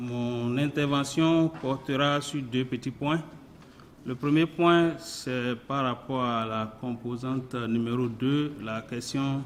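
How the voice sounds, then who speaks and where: A man talks with fairly even intonation. His voice sits at a medium pitch. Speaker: member of parliament. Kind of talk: parliamentary debate. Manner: halting.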